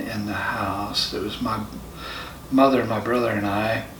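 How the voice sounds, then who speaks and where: A man speaks with an American accent. Noticeable background noise and audible room echo surround him. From US South, rural Central Florida. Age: 60s. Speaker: spiritual follower telling his life story. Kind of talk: personal testimony interview. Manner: halting, many fillers.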